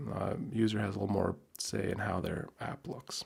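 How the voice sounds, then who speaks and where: A soft-spoken man at a fairly low pitch and moderate pace. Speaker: software developer streamer. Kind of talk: live coding tutorial. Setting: live stream from home.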